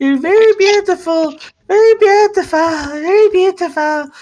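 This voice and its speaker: In a put-on character voice at an extremely high pitch, the speaker talks at a moderate pace. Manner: submissive.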